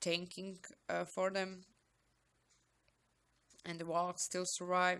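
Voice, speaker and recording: A woman with a non-native accent speaks at a fairly low pitch. Her bright, sharp tone comes at a fairly slow pace. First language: not English. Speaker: gaming YouTuber. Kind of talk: game commentary.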